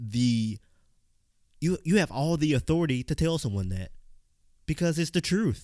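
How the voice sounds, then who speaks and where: A man with a Southern US accent talks at a moderate pace, his dark, mellow voice full of lively intonation. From US South, Mississippi. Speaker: podcast host. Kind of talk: motivational monologue. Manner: casual, conversational.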